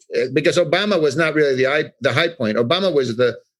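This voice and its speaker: Talking at a very fast pace, a man speaks in a New York accent. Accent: New York American. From New York City. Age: 60s. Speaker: art expert, former artist's assistant. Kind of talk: interview. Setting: podcast.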